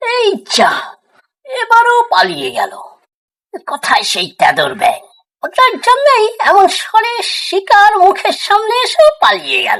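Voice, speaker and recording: A woman uses a cartoonish character voice at an extremely high pitch. She speaks at a fairly slow pace. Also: ordinary pitch variation. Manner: sly, wheedling.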